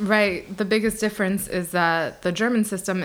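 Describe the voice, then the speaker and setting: Moving at a fairly quick pace, a woman with an ordinary speaking voice keeps her intonation fairly even. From the Bronx, New York City. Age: 20s. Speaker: former UN staffer, American expat interviewee. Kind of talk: interview answers.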